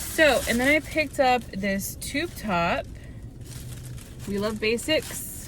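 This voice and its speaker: Very slowly and with lively intonation, a woman speaks at a fairly high pitch over noticeable background noise. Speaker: hairstylist and lifestyle vlogger. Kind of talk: casual vlog haul. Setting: in a car in a parking lot. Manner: quiet, hushed.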